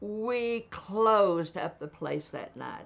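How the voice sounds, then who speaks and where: A woman talks in a Southern Appalachian accent. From East Tennessee, Appalachia. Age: 80s+. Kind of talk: interview answer.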